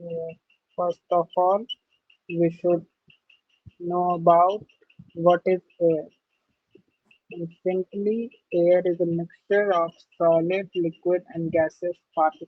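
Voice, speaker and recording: Speaking at a very slow pace with long, frequent pauses, the voice carries a non-native accent. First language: not English. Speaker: teacher. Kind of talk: lecture. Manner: halting.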